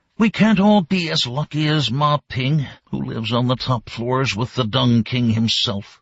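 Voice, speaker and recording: A raspy, whispered put-on character voice from a man, at a moderate pace with hardly any pauses. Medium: read story. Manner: timid, whispering.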